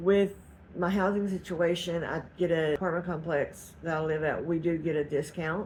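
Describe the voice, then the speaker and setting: A woman with a Southeast Texas accent talks at a moderate pace in a very deep, low pitch, somewhat breathy and with fairly even intonation. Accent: Southeast Texas Southern US. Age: 50s. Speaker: cooking and weight-loss vlogger. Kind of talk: casual vlog update.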